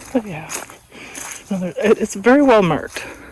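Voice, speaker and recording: Noticeable background noise sits behind a woman's voice. She speaks at a moderate pace with lively intonation. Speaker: hiking vlogger. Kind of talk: casual vlog narration while walking. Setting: outdoors on a trail. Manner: hesitant, many fillers.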